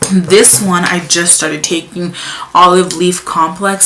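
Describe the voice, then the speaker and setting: There is noticeable background noise and audible room echo. Through it, a woman speaks at a fairly low pitch. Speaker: vlogger. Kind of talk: casual vlog talk. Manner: fast; halting.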